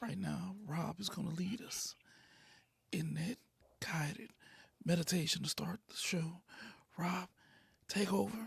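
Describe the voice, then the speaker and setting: The speaker whispers at a fairly slow pace. Long pauses come often. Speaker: podcast co-host. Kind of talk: casual sports podcast chat. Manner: whispering.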